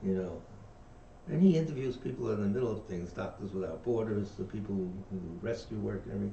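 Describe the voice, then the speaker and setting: Audible room echo surrounds a man with a New York accent. He talks at a very fast pace in a fairly low pitch with lively intonation. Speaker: dharma teacher. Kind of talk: reading aloud with discussion. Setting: livestream from meditation center.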